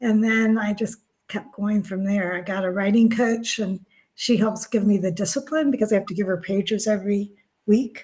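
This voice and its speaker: At a moderate pace, a woman speaks in a somewhat breathy voice at medium pitch with fairly even intonation. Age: 60s. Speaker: author and spiritual guide. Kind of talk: interview.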